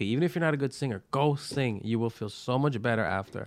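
A man speaks very fast with a New York accent. His pitch is medium and his intonation lively. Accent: New York (Brooklyn) English. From Brooklyn, New York. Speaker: stand-up comedian and restaurateur. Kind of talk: casual chat. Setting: studio.

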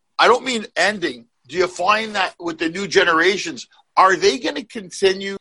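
A man's raised, projected, high-pitched voice, bright and sharp in tone, at a moderate pace with ordinary pitch variation and a dry, close sound with no echo. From Canada. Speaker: comedy podcast co-host. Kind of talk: casual chat.

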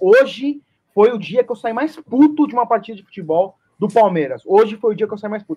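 The speaker is a man. His voice moves in very wide pitch swings. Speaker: football podcast panelist. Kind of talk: casual chat.

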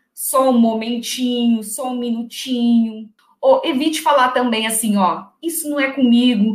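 A woman's high-pitched voice moves fairly slowly, its pitch rising and falling an ordinary amount. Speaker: secretarial skills teacher and executive secretary. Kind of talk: tutorial. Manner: loud.

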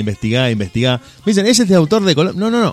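With an Argentine accent, a man speaks in lively intonation. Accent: Rioplatense Argentine Spanish. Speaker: internet radio host. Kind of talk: radio show. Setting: studio.

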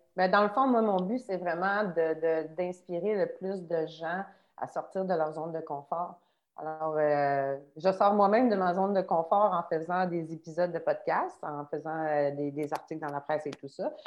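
Fairly slow, fairly low-pitched delivery from a woman, with ordinary pitch variation and an ordinary speaking voice. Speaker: trail runner. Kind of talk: casual chat.

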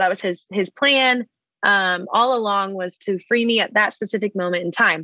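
A woman with a Texan accent speaks at a moderate pace and medium pitch, her tone bright and sharp, her pitch variation ordinary, and the sound dry and close with no echo. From Texas, Dallas. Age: 20s. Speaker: podcast guest. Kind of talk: casual chat. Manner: animated.

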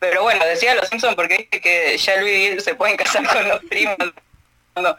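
A woman's medium-pitched voice with an Argentine accent, at a fairly quick pace. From Argentina. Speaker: radio host. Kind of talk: casual chat.

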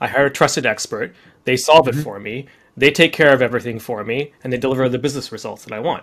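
A man with a Canadian accent talks at a very fast pace and a medium pitch. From Canada, Deep River, Ontario. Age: 40s. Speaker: startup founder and CEO. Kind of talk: podcast interview.

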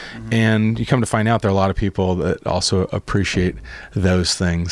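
The pace here is fairly quick. The speech comes with an American accent. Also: man. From US Pacific Northwest. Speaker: brewery owner. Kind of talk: interview. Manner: animated.

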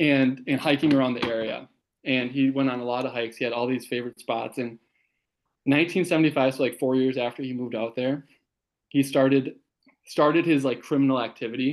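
An unremarkable speaking voice of a man at medium pitch, with a fairly quick pace and fairly even intonation. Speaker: guest co-host. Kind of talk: casual chat. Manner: jokey, laughs often.

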